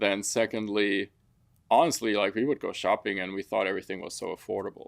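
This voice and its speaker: The speech carries a German accent. The pace is fairly quick. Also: man. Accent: German accent, still present. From Germany (Frankfurt), partly raised in Africa. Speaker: construction company owner. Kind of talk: interview.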